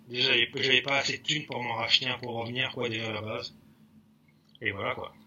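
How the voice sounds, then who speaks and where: A man talks at a fairly quick clip in a medium pitch, his intonation flat and monotone, with long, frequent pauses and noticeable background noise. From Paris region, Val d'Oise. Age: 40s. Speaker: graffiti artist. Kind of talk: casual interview.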